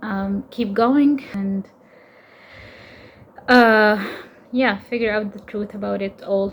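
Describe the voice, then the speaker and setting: A somewhat breathy woman at a very slow pace. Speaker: tarot content creator and interdisciplinary artist. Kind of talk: personal vlog monologue. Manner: halting, many fillers and repetitions.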